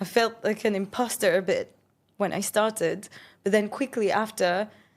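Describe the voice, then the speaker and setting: In a French accent, a woman speaks at a fairly slow pace on a very clean recording with a silent background. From France (Paris). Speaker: entrepreneur and podcast host. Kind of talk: interview conversation.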